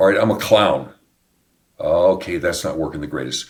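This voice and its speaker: Somewhat breathy, a man with a fairly low pitch swings his voice across a very wide pitch range. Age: 70s. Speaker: pastor. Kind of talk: casual chat.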